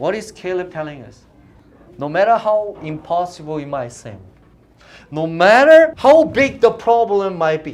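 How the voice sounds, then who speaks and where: A man talks at a fairly slow pace, his pitch swinging very widely. The room echo is audible. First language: not English. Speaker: youth pastor. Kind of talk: sermon. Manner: animated.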